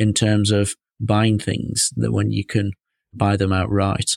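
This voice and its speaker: Speaking with a British accent at a fairly slow pace, a man is captured dry and close with no echo on a very clean recording with a silent background. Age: 30s. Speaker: financial adviser podcast host. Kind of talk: solo podcast monologue.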